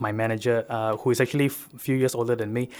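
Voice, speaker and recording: A man with a Sabahan accent talks at a fairly quick pace in a medium pitch. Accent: Malaysian (Sabahan) English. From Sabah, Malaysia (Keningau, interior). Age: 30s. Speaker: farmer and youth activist. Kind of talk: radio talk show interview. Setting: radio studio. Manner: hesitant, many filler uhs and restarts.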